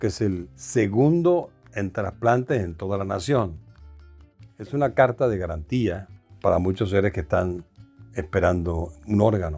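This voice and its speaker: A man speaks at a fairly slow pace with fairly low pitch and lively intonation, leaving long, frequent pauses while music plays in the background. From Venezuela. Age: 70s. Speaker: singer and actor. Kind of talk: interview answer.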